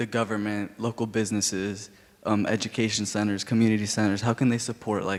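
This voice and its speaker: Fairly quick, fairly low-pitched male speech in an American accent, with monotone, flat intonation. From Illinois, US Midwest. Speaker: audience member. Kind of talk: audience question at public talk.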